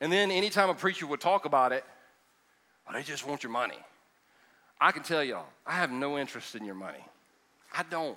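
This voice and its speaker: A man with a Southern US accent talks very fast at a fairly high pitch, with a bright, sharp tone and lively intonation. Long, frequent pauses and big swings in loudness break up his speech. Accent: US South. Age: 50s. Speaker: pastor. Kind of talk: sermon. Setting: church. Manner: animated.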